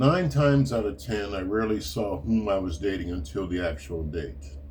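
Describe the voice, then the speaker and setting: This man talks at a moderate pace in a very deep, low voice that is somewhat breathy, with lively intonation. There is audible echo from the room. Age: 70s. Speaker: retired writer and martial arts teacher. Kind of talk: reading aloud.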